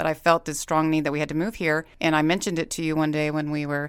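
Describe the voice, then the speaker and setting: A woman's very deep, low-pitched voice in a very clean recording with a silent background. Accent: American. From Corpus Christi, Texas. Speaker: podcast co-host, yoga teacher, former nurse. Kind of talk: casual chat.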